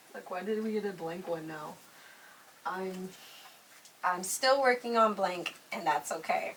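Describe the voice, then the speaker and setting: A New York accent at a fairly slow pace, with long, frequent pauses, big swings in loudness, ordinary pitch variation and noticeable background noise. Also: woman, medium pitch for a woman. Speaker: YouTuber interviewing a makeup artist. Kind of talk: casual chat.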